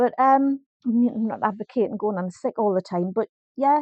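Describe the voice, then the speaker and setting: In a Geordie accent, a woman with a high-pitched voice speaks at a moderate pace, and the sound is dry and close with no echo. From North East England. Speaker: life coach. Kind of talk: casual talk to camera. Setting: home, small microphone.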